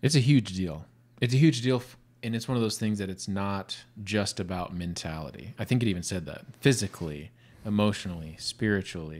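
Using a normal speaking voice, a man speaks at a fairly quick pace with a fairly low pitch and lively intonation. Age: 30s. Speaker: podcast co-host. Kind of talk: casual chat. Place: studio. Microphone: studio mic.

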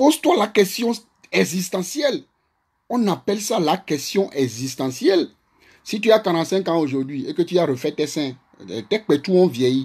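A man's high-pitched voice at a fairly slow pace, animated in tone with very wide pitch swings and long, frequent pauses, over a quiet background. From Togo. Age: 40s. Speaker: social media live streamer. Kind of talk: live stream monologue. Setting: Facebook live video. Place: home room. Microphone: phone near.

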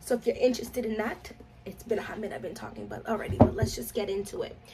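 A woman in a flat monotone against noticeable background noise. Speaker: fragrance reviewer. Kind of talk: casual vlog chat. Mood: chatty and playful. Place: home room. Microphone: phone near.

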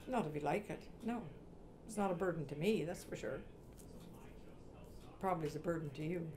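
The speaker has a rural Canadian accent and ordinary pitch variation, talking at a fairly quick pace with long, frequent pauses. Light background noise can be heard. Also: woman, fairly low pitch for a woman. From Eastern Ontario, Canada; Ontario, Canada. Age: 80s+. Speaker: sheep farmer; interviewee. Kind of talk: interview. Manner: halting. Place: kitchen. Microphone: lapel.

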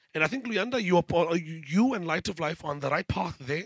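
Animated and fairly quick, a man speaks with a high pitch and very wide pitch swings. The background is quiet and the sound is dry with no echo. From South Africa. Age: 20s. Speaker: panel facilitator and emcee; panel moderator. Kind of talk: panel moderation. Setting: stage with audience. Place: hall. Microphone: handheld.

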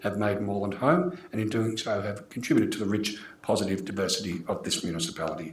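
A man talks at a fairly quick pace. Strong room echo surrounds his voice.

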